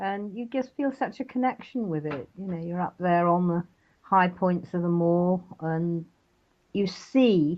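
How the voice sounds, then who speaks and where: A woman speaks at a fairly slow pace in a fairly low voice. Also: ordinary pitch variation. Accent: British. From England, West Country (Devon, Exmoor). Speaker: author. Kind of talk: interview.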